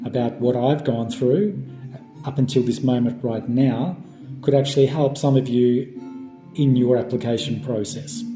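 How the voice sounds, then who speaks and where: A man's voice over background music. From Melbourne, Australia. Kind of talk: casual talk to camera.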